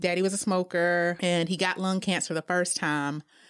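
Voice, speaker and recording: A woman speaks at a fairly low pitch with fairly even intonation, recorded very cleanly against a silent background. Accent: American. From South Carolina, US. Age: 40s. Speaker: event planner. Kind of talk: casual chat.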